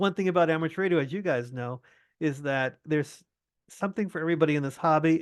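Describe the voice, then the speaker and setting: Against a quiet background, a high-pitched man talks very fast with ordinary pitch variation. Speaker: amateur radio presenter. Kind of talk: lecture. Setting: video call.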